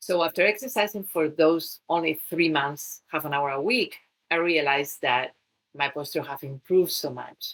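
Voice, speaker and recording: A woman's fairly low voice in a Spanish accent at a moderate pace. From Spain. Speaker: fitness trainer and wellness coach. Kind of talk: talk to listeners on fitness.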